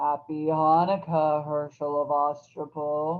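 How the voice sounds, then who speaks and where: A put-on character voice sits at a middle pitch. It moves at a fairly slow pace with flat, monotone intonation. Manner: sinister.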